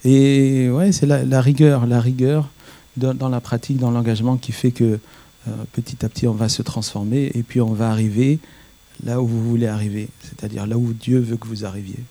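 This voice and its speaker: Dark and mellow in tone, a man's voice sits at medium pitch with fairly even intonation and a moderate pace. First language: not French (speaking French). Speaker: rabbi. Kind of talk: panel discussion.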